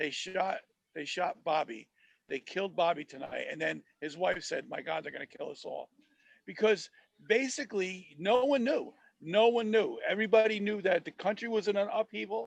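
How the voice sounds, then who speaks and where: In a dry, close sound with no echo, a man speaks with a high pitch and big swings in loudness. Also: moderate pace. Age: 60s. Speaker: podcast co-host. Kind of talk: casual chat. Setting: studio booth. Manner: halting, repetitive.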